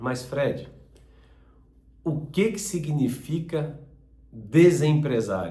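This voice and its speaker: A man's fairly high voice with a dark, mellow tone and vocal fry, lively intonation, a very slow pace and long, frequent pauses, plus audible room echo. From southern Brazil, Joinville, Santa Catarina. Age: 50s. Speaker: business channel host, former business owner. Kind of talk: personal introduction monologue.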